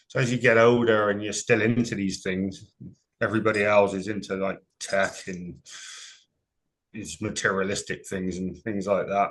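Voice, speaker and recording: A man speaks with a Gloucestershire accent at a moderate pace. His intonation stays fairly even over a quiet background. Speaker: paranormal investigator. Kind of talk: interview.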